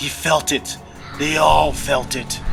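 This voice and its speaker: Over music in the background, a man speaks in a fairly high pitch. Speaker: author narrating own book. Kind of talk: audiobook fantasy horror narration.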